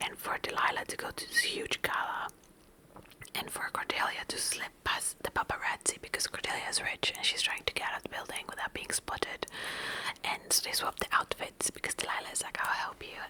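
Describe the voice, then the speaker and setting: Someone whispers at a fairly quick pace. Noticeable background noise is present. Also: woman. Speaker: ASMR book vlogger. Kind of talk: soft-spoken ASMR book recap. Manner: soft-spoken, whispering.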